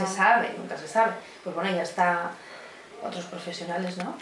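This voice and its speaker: A woman's fairly even intonation amid noticeable background noise. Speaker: voice actress. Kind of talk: interview answer. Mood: relaxed, amused, reminiscing. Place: home room.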